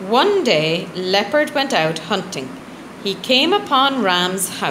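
This is read in an unforced reading voice.

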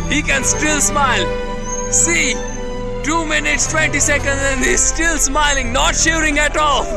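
Loud music plays in the background as a man speaks in a dry sound with no echo. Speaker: narrator filming. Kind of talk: commentary. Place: open country.

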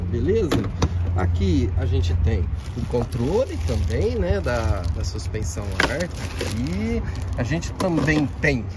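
Amid loud background noise, a man speaks at a very slow pace with long, frequent pauses in a dry sound with no echo. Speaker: truck dealer or salesman. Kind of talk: casual vlog walkaround. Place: street. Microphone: phone near.

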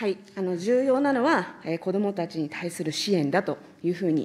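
A woman with a fairly low voice talks at a fairly quick pace. Her pitch swings very widely. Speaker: legislator questioning ministers. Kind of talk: parliamentary committee questioning. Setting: parliamentary committee room. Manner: formal, polite with many fillers. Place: hall. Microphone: podium.

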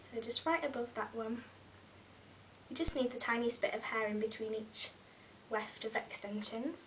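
Long, frequent pauses break up a woman's moderate-paced speech, pitched fairly high, with noticeable background noise behind her. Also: ordinary pitch variation. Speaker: beauty vlogger. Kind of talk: tutorial. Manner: casual, friendly.

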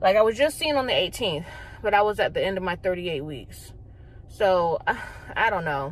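A woman talks at a fairly quick pace, the sound dry with no echo and some light background noise behind her. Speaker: pregnant vlogger. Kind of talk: casual vlog chat. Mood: annoyed, frustrated. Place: car. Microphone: phone near.

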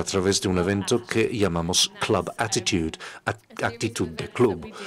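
A plain, everyday voice belongs to this man, who speaks at a fairly slow pace with a fairly low pitch and ordinary pitch variation. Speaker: interpreter voicing the workshop leader. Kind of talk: interpreted workshop presentation. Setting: stage with audience.

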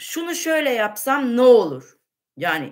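A woman's fairly high voice with vocal fry and very wide pitch swings, fairly slow, over a quiet background. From Turkey. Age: 50s. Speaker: livestream host answering viewer questions. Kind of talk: casual Q&A livestream. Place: kitchen. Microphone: webcam.

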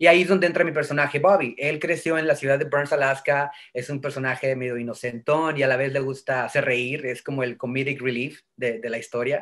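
Fairly high for a man, this voice moves at a fairly quick pace with hardly any pauses. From northern Mexico (Tamaulipas). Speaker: voice actor. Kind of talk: interview. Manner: animated. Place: home room. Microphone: video call.

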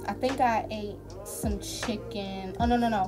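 With clear music in the background, a woman is talking. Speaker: vlogger. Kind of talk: casual vlog chat. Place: home room. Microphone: phone near.

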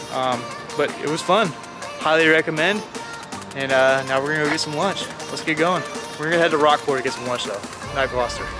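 A man speaks at a very fast pace with ordinary pitch variation. The sound is dry with no echo, and clear music plays behind him. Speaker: travel vlogger. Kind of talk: casual vlog chat. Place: waterside. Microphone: phone near.

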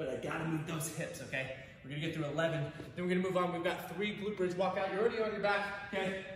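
In a room with audible echo and light background noise, a man talks at a very fast pace with a high pitch and fairly even intonation. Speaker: fitness coach. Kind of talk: tutorial. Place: gym. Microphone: camera far.

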